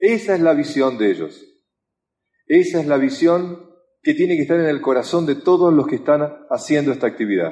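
A man with a Rioplatense accent at a moderate pace, with long, frequent pauses. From Argentina. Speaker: motivational speaker. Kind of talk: motivational talk.

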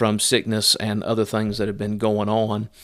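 A man with an Appalachian accent speaks at a fairly low pitch in a very clean recording with a silent background. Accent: Southern US (Appalachian). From US South, Southwest Virginia. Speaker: missionary. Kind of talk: casual monologue update. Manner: halting, many fillers.

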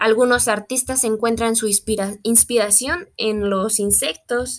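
Her intonation fairly even, a woman speaks at a very slow pace. Her pitch is fairly high. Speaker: biology student. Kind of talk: educational talk. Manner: hesitant, frequent fillers.

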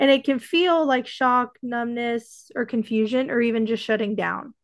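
A woman speaks in an ordinary speaking voice at a fairly slow pace. Her pitch is fairly high, her intonation fairly even, and the background quiet. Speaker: podcast host, mother. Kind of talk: casual chat.

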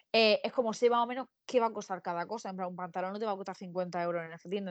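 A woman speaks at a medium pitch in an unremarkable speaking voice. The sound is dry and close with no echo, over a quiet background. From Spain, Murcia. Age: 20s. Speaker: podcast co-host. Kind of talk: casual chat.

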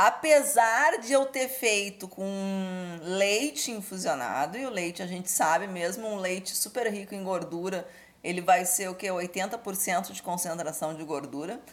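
An ordinary speaking voice from a woman at a medium pitch, fairly slow in pace yet with hardly any pauses, full of lively intonation and big swings in loudness. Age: 40s. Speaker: cannabis cooking teacher. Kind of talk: interview.

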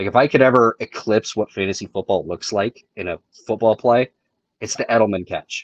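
At a fairly quick pace, an ordinary speaking voice comes through with fairly even intonation. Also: man, medium pitch for a man, dry, close sound with no echo. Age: 30s. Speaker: fantasy football player. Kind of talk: casual chat.

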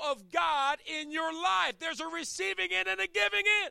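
Projecting a raised voice, a man speaks with an American accent in a bright, sharp tone. The sound is dry and close, with no echo. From Chesapeake Bay area, US. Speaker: pastor. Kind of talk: sermon. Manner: animated.

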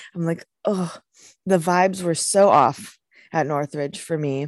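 Speaking at a fairly slow pace, a woman has an American accent and a fairly low pitch with ordinary pitch variation. The sound is dry and close, with no echo. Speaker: journalism student and broadcast reporter. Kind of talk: interview. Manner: animated.

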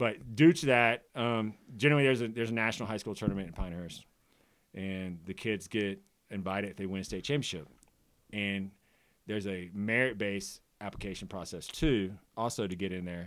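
A man with a plain, everyday voice, fairly low in pitch with ordinary variation, at a fairly quick pace on a very clean recording with a silent background. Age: 40s. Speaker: high school golf coach. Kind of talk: casual chat.

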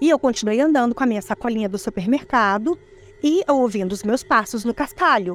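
Talking at a fairly quick pace, a woman has an unremarkable speaking voice with a fairly high pitch and lively intonation. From Espírito Santo, Brazil. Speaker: eyewitness telling her own experience. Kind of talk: first-person ghost story telling, recounting a creepy childhood encounter.

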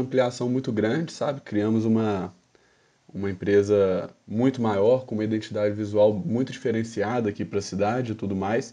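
A quiet background behind a man at a medium pitch, dark and mellow in tone, with fairly even intonation at a moderate pace. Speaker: restaurant manager. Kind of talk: casual podcast chat.

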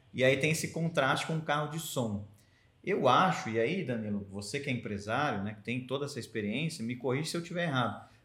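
Audible room echo surrounds a man's voice. He talks at a fairly quick pace with lively intonation. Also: medium pitch for a man. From Americana, São Paulo state, Brazil. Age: 30s. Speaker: journalist and press officer. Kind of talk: casual interview chat. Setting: association headquarters.

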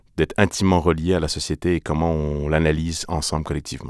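Recorded very cleanly with a silent background and a dry, close sound with no echo, a man speaks at a fairly quick pace in a very deep, low, monotone voice. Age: 30s. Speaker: theatre artist. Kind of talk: interview. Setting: studio. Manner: halting.

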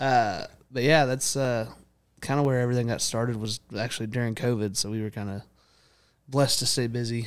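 A man's medium-pitched voice in a Texan accent, fairly quick yet broken by long, frequent pauses, with fairly even intonation on a very clean recording with a silent background. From Texas (Prosper). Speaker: country singer-songwriter. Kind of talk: casual chat.

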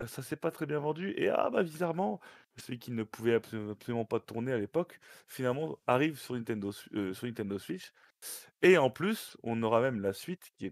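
A man speaks at a medium pitch and a moderate pace, his intonation lively. The sound is dry and close, with no echo. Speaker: gaming show host. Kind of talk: casual chat. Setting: online call.

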